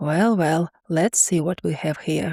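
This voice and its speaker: Using a raspy put-on character voice, a woman speaks at a fairly slow pace with ordinary pitch variation. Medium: read story.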